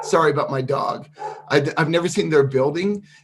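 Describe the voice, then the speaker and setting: Clear background noise accompanies a man whose voice sits fairly high. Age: 60s. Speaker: digital marketing freelancer. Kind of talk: tutorial. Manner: casual, halting with fillers.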